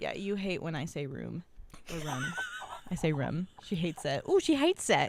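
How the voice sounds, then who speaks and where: Over noticeable background noise, a woman with an American accent speaks at a moderate pace in an animated tone. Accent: Midwestern accent, some East Coast words. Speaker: podcast co-host. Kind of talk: casual chat.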